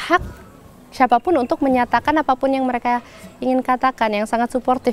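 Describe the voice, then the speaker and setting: The recording is dry and close, without any echo. A woman's voice is heard. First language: stronger in English than Indonesian (speaking Indonesian). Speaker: poet and performer. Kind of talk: interview. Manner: hesitant, many fillers.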